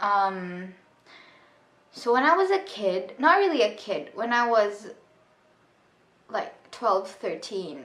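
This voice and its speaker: Very slow in pace, a woman speaks with lively intonation at a fairly high pitch. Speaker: vlogger. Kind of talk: personal storytime monologue. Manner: halting; many filler ums.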